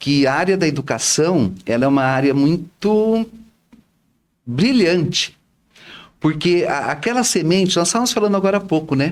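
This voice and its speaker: His high voice keeping very even loudness, a man speaks at a moderate pace with lively intonation and long, frequent pauses. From Brazil, Bauru (São Paulo state). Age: 60s. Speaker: retired teacher and social volunteer. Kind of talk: interview chat.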